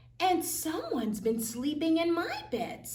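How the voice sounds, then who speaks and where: Using a put-on character voice, a woman talks at a moderate pace with extremely high pitch. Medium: read story.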